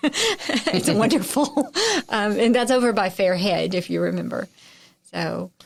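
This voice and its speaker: Speaking at a fairly slow pace, a woman talks with a Southern US accent. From Texarkana, Texas/Arkansas border, US South. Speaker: journalist, radio voice and harpist. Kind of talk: interview conversation. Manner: animated, chatty with frequent fillers and restarts.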